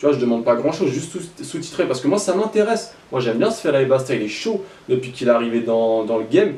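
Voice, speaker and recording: Over noticeable background noise and audible room echo, a man with a medium pitch speaks at a very fast pace with very wide pitch swings. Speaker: rap news YouTuber. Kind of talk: casual commentary.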